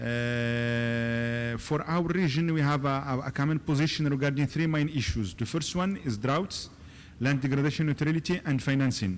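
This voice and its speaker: A man at a moderate pace, loudness very even, pitch variation ordinary, with audible room echo. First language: French. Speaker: government delegate. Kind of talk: conference panel speech. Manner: halting, many fillers.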